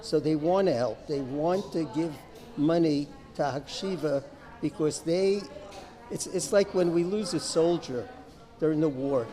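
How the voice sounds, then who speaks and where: Amid noticeable background noise, a man with an American accent and a fairly high pitch talks at a fairly slow pace with ordinary pitch variation and long, frequent pauses. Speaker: retired chemistry professor. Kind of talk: interview, fundraising appeal.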